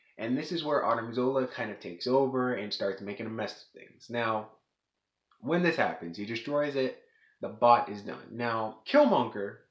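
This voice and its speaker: A man talks with ordinary pitch variation. The background is quiet, though room echo is audible. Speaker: video reviewer. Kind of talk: casual plot recap commentary. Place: home room. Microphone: webcam.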